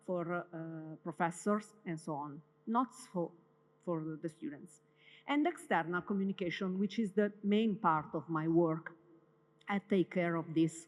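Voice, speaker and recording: A woman with an Italian accent speaks at a fairly low pitch that varies in an ordinary way. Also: fairly slow pace. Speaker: university communications head. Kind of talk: welcome day presentation. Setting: stage with audience. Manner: halting, with many fillers.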